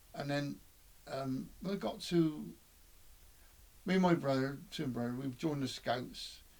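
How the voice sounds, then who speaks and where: Speaking at a fairly slow pace, the man leaves long, frequent pauses. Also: fairly high pitch for a man, ordinary pitch variation. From England, Bristol. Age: 70s. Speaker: interviewee recalling his life. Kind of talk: oral history reminiscence. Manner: halting, with repeated words and fillers.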